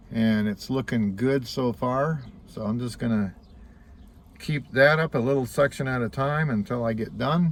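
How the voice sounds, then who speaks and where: At a moderate pace, a man talks in a plain, everyday voice at medium pitch with ordinary pitch variation. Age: 60s. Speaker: vlogger. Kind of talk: casual vlog monologue.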